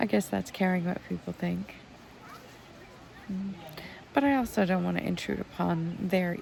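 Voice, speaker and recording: A woman mumbles quietly at a fairly slow pace, with long, frequent pauses and lively intonation. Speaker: healer and vlogger. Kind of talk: casual vlog monologue. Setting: outdoors in a tent at a festival campsite. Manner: quiet, mumbling.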